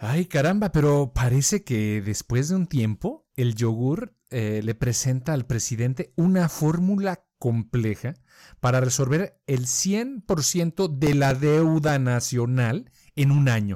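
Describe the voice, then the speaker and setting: A man's dark, mellow voice with lively intonation and very even loudness at a very slow pace, in a very clean recording with a silent background and a dry, close sound with no echo. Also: fairly high pitch for a man. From Colombia. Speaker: podcast co-host. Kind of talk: casual chat.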